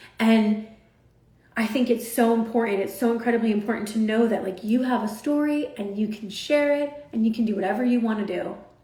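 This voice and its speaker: Over noticeable background noise and audible room echo, a woman with a fairly high pitch speaks in an animated tone at a fairly quick pace. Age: 40s. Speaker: social media influencer. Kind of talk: motivational talk on a livestream. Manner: loud.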